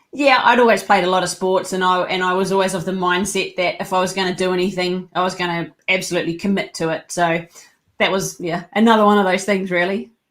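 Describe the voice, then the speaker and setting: Speaking very fast with a slight New Zealand accent, a woman keeps a medium pitch and fairly even intonation on a very clean recording with a silent background. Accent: slight New Zealand twang. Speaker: leadership coach and company co-founder. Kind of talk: podcast interview.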